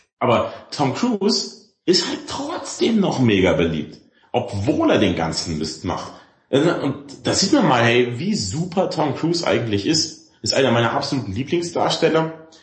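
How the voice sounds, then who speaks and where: A man speaks at a fairly slow pace, his words trailed by audible room echo. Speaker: podcast co-host, film discussion. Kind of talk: casual chat.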